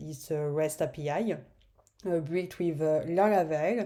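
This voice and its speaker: In a French accent, a woman speaks with a dark, mellow tone and fairly low pitch. The recording is very clean, with a silent background. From France. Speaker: software developer. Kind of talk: tutorial. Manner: halting, many fillers.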